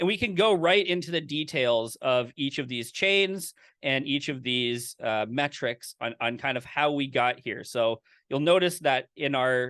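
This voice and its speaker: A man speaks with an unremarkable speaking voice at a fairly high pitch. His pace is fairly slow, with ordinary pitch variation. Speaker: course instructor. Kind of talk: live online lecture with demo. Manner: casual, filler-heavy.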